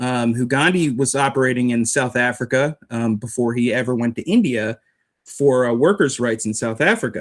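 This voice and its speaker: On a very clean recording with a silent background, a man with an American accent and a plain, everyday voice speaks at a medium pitch and a moderate pace, with ordinary pitch variation. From United States. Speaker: street preacher, writer. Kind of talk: interview answer.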